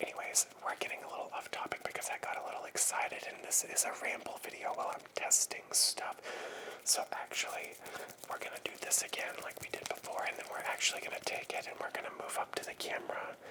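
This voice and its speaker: A man whispering at a very fast pace over noticeable background noise. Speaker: ASMR creator. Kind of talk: ASMR mic test, casual talk to camera. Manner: soft-spoken, whispered.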